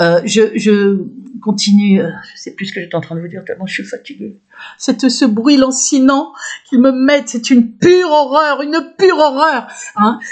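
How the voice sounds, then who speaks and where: A woman's high voice with lively intonation, big swings in loudness, and a moderate pace. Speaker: video blogger. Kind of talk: personal testimony monologue. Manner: halting, many fillers and restarts.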